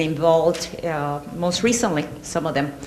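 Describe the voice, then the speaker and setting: A woman with a Puerto Rican accent at a moderate pace, with audible room echo and noticeable background noise. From Puerto Rico. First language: Spanish. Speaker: professor. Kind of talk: lecture.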